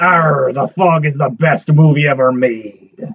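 A man puts on a character voice at a fairly high pitch. The pace is fairly slow. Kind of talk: exaggerated pirate growl.

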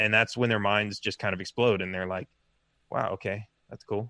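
A man speaks at a fairly quick pace in a fairly low voice. His intonation is fairly even, and the sound is dry and close with no echo. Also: quiet background. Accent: Californian. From US West Coast, Los Angeles. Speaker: presidential candidate, software engineer. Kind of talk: interview. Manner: halting.

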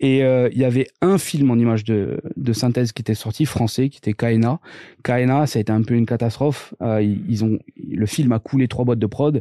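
Against a quiet background, the dry, close sound with no echo carries a man's dark, mellow tone at medium pitch, moderate pace, and ordinary pitch variation. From Corsica, Corse-du-Sud. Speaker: tech entrepreneur. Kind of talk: casual interview.

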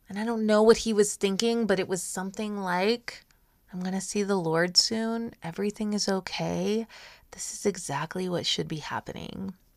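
A woman with a normal speaking voice and fairly even intonation at a moderate pace, in a very clean recording with a silent background. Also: medium pitch for a woman. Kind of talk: pep talk. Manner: warm, encouraging, earnest.

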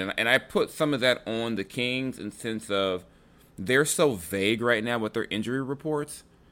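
Recorded very cleanly against a silent background, a man talks in a normal speaking voice with an American accent. His medium pitch has ordinary variation, and his pace is moderate. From Los Angeles, US West Coast. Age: 40s. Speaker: sports podcast host. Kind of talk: casual chat.

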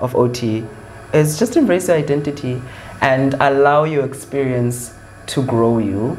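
Speech in a South African accent moves at a moderate pace with ordinary pitch variation over noticeable background noise. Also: man. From South Africa, Eastern Cape. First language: Xhosa. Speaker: occupational therapy student. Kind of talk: interview.

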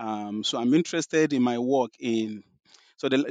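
With a Nigerian accent, a man speaks with ordinary pitch variation, his sound dry and close with no echo over a quiet background. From Nigeria, southwest (Yoruba). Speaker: professor. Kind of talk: interview about his book. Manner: hesitant, many fillers and repetitions.

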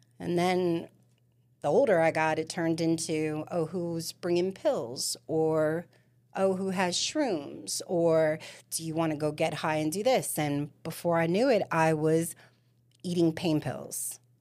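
A woman with an American accent speaks in an ordinary speaking voice, fairly low in pitch and with ordinary pitch variation, at a fairly slow pace. The recording is very clean, with a silent background. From Staten Island, New York. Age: 40s. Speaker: recovering addict sharing her story. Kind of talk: interview testimony.

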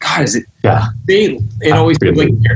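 A man speaks in an unremarkable speaking voice at medium pitch. His intonation is lively. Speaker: show moderator. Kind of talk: casual chat.

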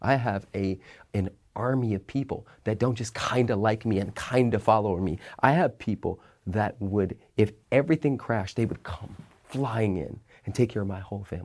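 Recorded very cleanly against a silent background, a man talks at a moderate pace with an ordinary amount of pitch variation. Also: fairly low pitch for a man. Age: 40s. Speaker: motivational speaker and abundance coach. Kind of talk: podcast interview. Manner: animated.

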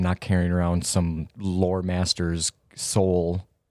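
Recorded very cleanly against a silent background, this man's very deep, low voice carries a dark, mellow tone in a dry, close sound with no echo. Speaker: tabletop game player. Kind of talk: casual banter during tabletop game.

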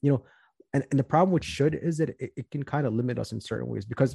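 A man with an American accent talks at a very fast pace in a somewhat breathy voice, his tone dark and mellow, the sound dry and close with no echo. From US Midwest, Chicago southwest suburbs. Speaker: financial planner. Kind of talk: casual interview.

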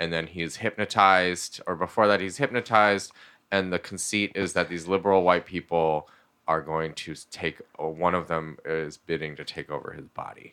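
With a very deep, low pitch and a bright, sharp tone, a man speaks at a moderate pace with fairly even intonation and big swings in loudness, in a very clean recording with a silent background. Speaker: podcast guest. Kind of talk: casual chat. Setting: studio.

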